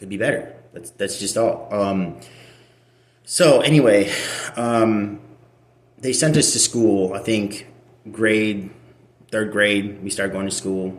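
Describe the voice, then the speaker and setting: Speaking with an American accent, this voice moves at a very slow pace with long, frequent pauses. Room echo is audible. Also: man, fairly low pitch for a man, ordinary pitch variation, big swings in loudness. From Russia, adopted to US as child. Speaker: adoptee sharing personal story. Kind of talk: personal testimony. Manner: halting, many repetitions and fillers.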